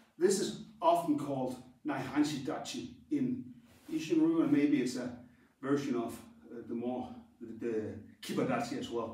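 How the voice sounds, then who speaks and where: At a moderate pace, the speaker leaves long, frequent pauses, with audible room echo around the voice. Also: man. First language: Danish. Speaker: karate instructor. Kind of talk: tutorial. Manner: halting.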